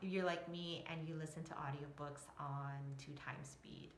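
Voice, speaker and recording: Recorded with audible room echo and noticeable background noise, a woman speaks at a moderate pace. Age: 40s. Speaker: emotional resilience coach. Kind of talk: live stream talk. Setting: Facebook live video. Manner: casual, rambling with fillers.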